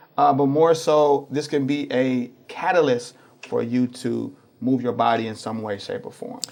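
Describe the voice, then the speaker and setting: With noticeable background noise behind it, the voice has an American accent and ordinary pitch variation. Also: man, fairly high pitch for a man, moderate pace. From St. Louis, Missouri, US. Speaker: running club founder. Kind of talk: interview.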